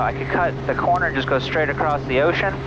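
Speaking at a very fast pace with ordinary pitch variation, a man is heard over loud background noise in a dry sound with no echo. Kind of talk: casual vlog chat. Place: plane. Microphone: headset.

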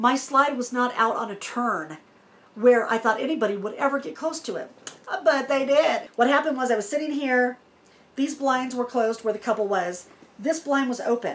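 A woman with a high-pitched voice and ordinary pitch variation. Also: moderate pace. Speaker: RV vlogger. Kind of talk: casual vlog Q&A storytelling. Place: home room.

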